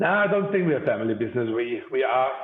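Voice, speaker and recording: Here a man speaks with a German accent. His pitch variation is ordinary. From Germany (Bavaria). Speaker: company CEO. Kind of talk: podcast interview.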